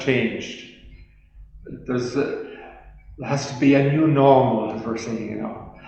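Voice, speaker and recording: A man with an Irish accent speaks at a medium pitch with ordinary pitch variation, over noticeable background noise and audible room echo. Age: 80s+. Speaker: priest. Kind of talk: testimony. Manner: halting.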